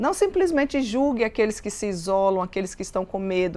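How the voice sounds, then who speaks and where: A woman talks in a normal speaking voice at a moderate pace, her pitch fairly high with ordinary pitch variation. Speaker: Bible teacher. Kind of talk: Bible study teaching.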